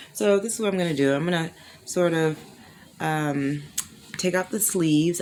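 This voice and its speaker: Over noticeable background noise, a woman with a very deep, low pitch speaks at a fairly quick pace with ordinary pitch variation. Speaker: crochet video creator. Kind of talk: tutorial. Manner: casual, chatty.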